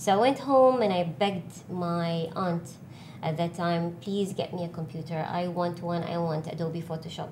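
A woman at a moderate pace, fairly low in pitch with ordinary pitch variation, in a room with audible echo. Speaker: artist and designer. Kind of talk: casual interview.

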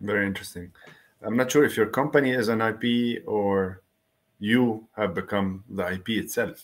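Medium in pitch, a man with an unremarkable speaking voice speaks at a moderate pace with ordinary pitch variation. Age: 40s. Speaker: podcast host. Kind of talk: casual chat.

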